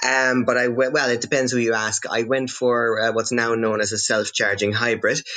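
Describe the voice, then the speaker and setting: The speaker talks in a Cork accent with monotone, flat intonation. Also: man. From Netherlands. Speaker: electric car owner. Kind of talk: podcast interview. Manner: halting, many fillers.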